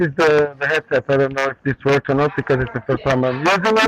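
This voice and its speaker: A man speaks with noticeable noise in the background. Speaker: home grower showing his garden. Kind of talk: casual chat on video call. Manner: loud.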